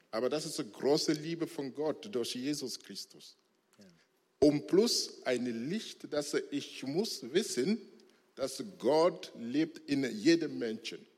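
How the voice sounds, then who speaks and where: A man's fairly high voice at a very slow pace, with lively intonation and big swings in loudness. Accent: non-native. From Togo. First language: not German (speaking German). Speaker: former imam, church member. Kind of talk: church interview testimony. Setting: church stage with congregation. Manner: halting, broken German.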